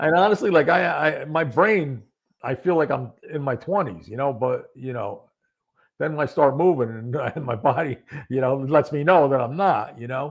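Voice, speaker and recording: With an American accent, a man talks at a moderate pace in an unremarkable speaking voice. His pitch is fairly high, with ordinary pitch variation. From upstate New York. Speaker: former police detective and accident survivor. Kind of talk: podcast interview.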